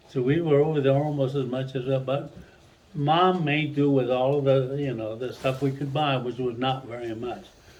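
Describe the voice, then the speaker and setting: With noticeable background noise and audible room echo, a man speaks at a moderate pace and medium pitch with fairly even intonation. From Mexico. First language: Spanish. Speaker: retired Spanish teacher. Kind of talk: family storytelling. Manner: halting.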